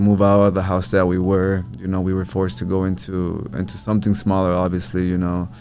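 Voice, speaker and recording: There's audible room echo as a man with an American accent talks at a fairly quick pace, his very deep, low pitch carrying a dark, mellow tone. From New Mexico, US (Albuquerque). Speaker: social media content creator. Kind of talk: podcast interview. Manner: casual, filler-heavy.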